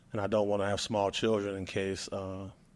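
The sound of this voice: A man talks at a moderate pace. His pitch is fairly low and moves very little.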